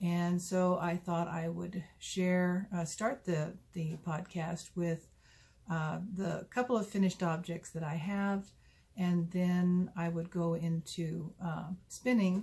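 A woman speaks very slowly with a dark, mellow tone and fairly low pitch. Her voice is somewhat breathy, with fairly even intonation. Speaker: knitting podcast host. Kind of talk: casual vlog chat. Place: home room. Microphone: phone near.

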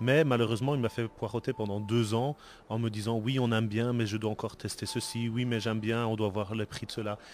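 His pitch sits in the medium range. The man talks at a fairly quick pace. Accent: Belgian. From Belgium. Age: 40s. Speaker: board game designer. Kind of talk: interview. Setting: convention event.

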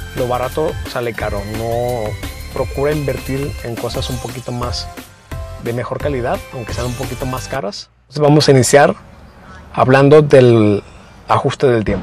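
Faint music plays behind a man who speaks at a moderate pace with ordinary pitch variation, in a dry sound with no echo. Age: 20s. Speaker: DIY car vlogger. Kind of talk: tutorial; casual chat. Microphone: lapel.

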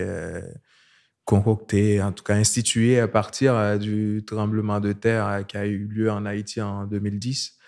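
A man's fairly low voice at a very slow pace, against a quiet background. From Haiti. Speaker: artist; guest. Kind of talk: casual chat. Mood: calm, reflective. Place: studio. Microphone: studio mic.

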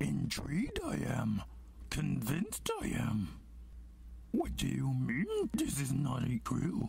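Putting on a character voice, a man talks at a fairly slow pace with long, frequent pauses over clear background noise. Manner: inverted syntax, croaky.

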